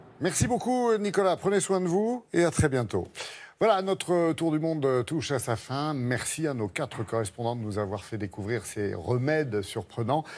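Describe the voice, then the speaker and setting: At a moderate pace, a man with a fairly high pitch talks in very wide pitch swings. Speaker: morning TV show presenter; TV presenter. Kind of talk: TV presenting. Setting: studio. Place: studio. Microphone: lapel.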